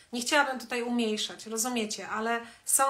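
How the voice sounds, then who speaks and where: Talking at a fairly quick pace, a woman with a fairly high voice keeps her intonation monotone and flat. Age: 50s. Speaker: wellness educator hosting a live stream; coach or therapist. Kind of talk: live stream talk to viewers. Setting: Instagram live video. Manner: conversational, with many fillers. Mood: calm, warm, reflective. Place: home room. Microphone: phone near.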